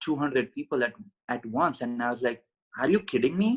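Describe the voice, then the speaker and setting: A man with an Indian accent, medium-pitched, with ordinary pitch variation, in a dry, close recording with no echo. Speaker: podcast guest, mindset coach. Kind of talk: interview. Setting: call from India.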